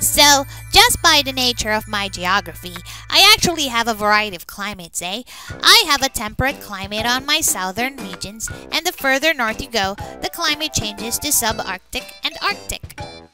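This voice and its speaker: A woman's put-on character voice, fairly high in pitch, with clear music in the background. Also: moderate pace. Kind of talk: comedic fandub narration.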